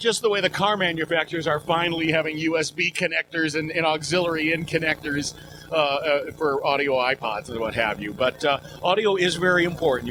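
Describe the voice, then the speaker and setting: A man speaks very fast at a fairly high pitch, with ordinary pitch variation. Noticeable background noise runs under his voice. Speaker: professional voice talent, announcer. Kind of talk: casual interview answer. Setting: trade show interview. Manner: upbeat, playful.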